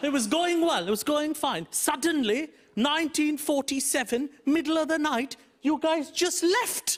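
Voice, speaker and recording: With noticeable background noise behind him, a man talks at a fairly slow pace and an extremely high pitch, with ordinary pitch variation and very even loudness. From India, Mumbai. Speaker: comedian. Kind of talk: stand-up. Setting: stage with audience.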